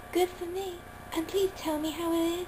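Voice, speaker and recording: A female-sounding, put-on character voice, squeaky and extremely high, talks at a moderate pace. Background noise is clearly heard. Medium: audio drama. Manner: gentle, friendly.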